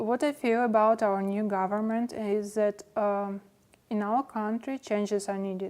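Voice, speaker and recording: Speaking with a Russian accent, a woman keeps a monotone, flat intonation at a fairly high pitch and a fairly slow pace. The recording is very clean, the background silent. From Crimea, Ukraine. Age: 20s. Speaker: young local resident giving opinion. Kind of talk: interview monologue. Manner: halting, many fillers and restarts.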